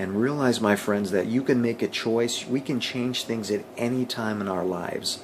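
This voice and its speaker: There is noticeable background noise behind a man speaking at medium pitch. He keeps a moderate pace with hardly any pauses. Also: fairly even intonation. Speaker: motivational vlogger. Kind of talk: motivational talk to camera.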